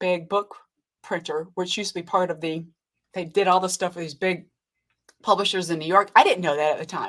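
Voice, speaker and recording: A woman's medium-pitched voice with fairly even intonation and long, frequent pauses. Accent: American. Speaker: cancer survivor. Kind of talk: interview. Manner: halting.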